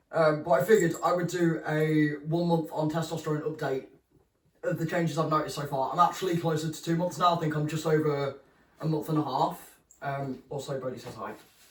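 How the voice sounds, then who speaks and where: The speaker has a British accent and a fairly quick pace. The intonation stays fairly even. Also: man. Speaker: vlogger. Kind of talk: casual vlog update. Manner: casual, hesitant with many ums.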